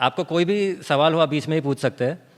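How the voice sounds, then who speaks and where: A man with a Gujarati accent speaks in a fairly high pitch with fairly even intonation. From Pardi, Gujarat, India. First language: Gujarati (speaking Hindi). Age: young. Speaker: author and organic farmer. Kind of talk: seminar talk. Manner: code-switching Hindi and English, some fillers.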